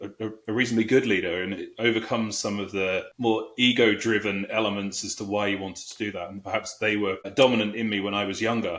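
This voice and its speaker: With a British accent, a man talks at a fairly quick pace and keeps a fairly even intonation. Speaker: HR executive. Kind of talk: interview.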